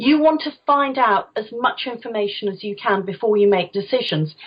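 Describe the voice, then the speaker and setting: A woman with a fairly high pitch speaks in a somewhat breathy voice with lively intonation. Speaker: voice coach, former opera singer. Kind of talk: interview, coaching advice. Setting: podcast interview. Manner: projected, energetic.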